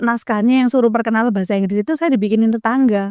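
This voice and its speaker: Her animated voice sits fairly high for a woman, with ordinary pitch variation and a dry, close sound free of echo. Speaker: school alumna with doctorate, educator. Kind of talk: podcast interview. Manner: loud.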